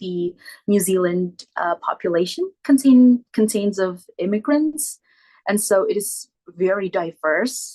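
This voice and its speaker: A woman speaks at a medium pitch with a non-native accent and ordinary pitch variation. The sound is dry and close, with no echo. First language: not English. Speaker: exchange student. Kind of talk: informal presentation. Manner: halting.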